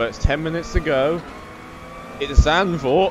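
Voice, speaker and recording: A man with a fairly high pitch for a man, lively intonation and a moderate pace, amid noticeable background noise. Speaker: sim racing commentator. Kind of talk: live commentary.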